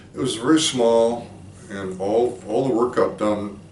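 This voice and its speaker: A man with an American accent at medium pitch, with audible room echo and noticeable background noise. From Minnesota, US Midwest. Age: 70s. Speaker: philosophy professor. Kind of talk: oral history interview. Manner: reflective, with hesitations.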